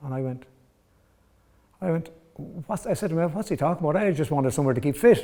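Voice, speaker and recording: A man's fairly high voice in an Irish accent, very fast, with lively intonation and long, frequent pauses. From Ireland, County Wexford (Enniscorthy). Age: 60s. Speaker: boxing coach. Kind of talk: interview testimony.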